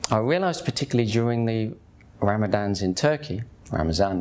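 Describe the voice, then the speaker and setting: With a Cockney accent, a man talks at a fairly quick pace, his fairly low voice carrying lively intonation. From East London, England (Hackney). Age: 50s. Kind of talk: testimony. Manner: casual, conversational.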